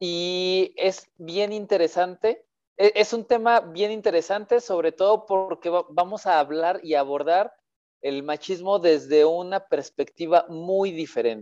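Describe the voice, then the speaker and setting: At a very slow pace, a man speaks in a high voice with ordinary pitch variation. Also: dry, close sound with no echo. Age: 30s. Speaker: podcast host. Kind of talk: casual chat.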